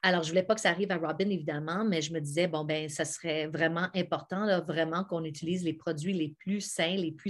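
A woman's fairly low-pitched, fairly quick delivery in an ordinary speaking voice, fairly even in intonation with hardly any pauses, over a quiet background. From Quebec (Montebello); Quebec. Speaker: actress and singer; actress. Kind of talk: sales pitch. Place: home room. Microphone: webcam.

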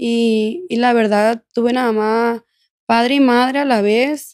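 A woman's fairly high-pitched, monotone, flat delivery at a very slow pace over a quiet background. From Mexico, Culiacán, Sinaloa; Sinaloa, Mexico. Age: 20s. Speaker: former prisoner telling her life story; podcast guest. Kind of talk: testimony. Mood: serious, reflective personal story. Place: studio. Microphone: studio mic.

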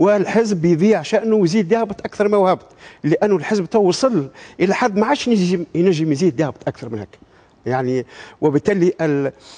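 A man's high-pitched voice with a dark, mellow tone, lively intonation and a fairly quick pace. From Tunisia. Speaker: party spokesman, politician. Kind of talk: political talk show debate. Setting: TV studio with audience. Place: studio. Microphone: lapel.

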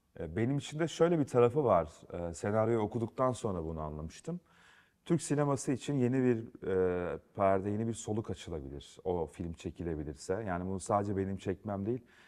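Against a quiet background, a man with a dark, mellow tone and fairly low pitch talks at a fairly quick pace with very wide pitch swings. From Turkey, Yozgat; Turkey. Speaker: film and TV director; guest. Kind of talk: studio interview. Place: studio. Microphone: lapel.

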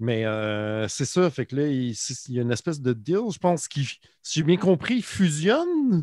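Pitched fairly high, a man speaks at a fairly slow pace with very wide pitch swings. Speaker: podcast co-host. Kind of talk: casual chat.

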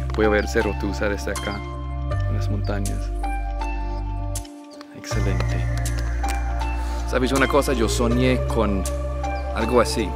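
Clear music plays behind a man who speaks at a fairly slow pace with long, frequent pauses. The sound is dry, with no echo. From United States. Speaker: travel vlogger. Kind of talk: casual talk to camera. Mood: delighted, enthusiastic. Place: open country. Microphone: phone near.

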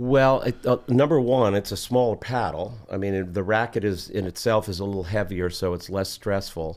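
A man speaks at a moderate pace with a fairly low pitch and ordinary pitch variation. He hardly pauses. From New Jersey. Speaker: pickleball pro and local musician. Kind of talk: casual interview. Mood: relaxed, enthusiastic. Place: studio. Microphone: studio mic.

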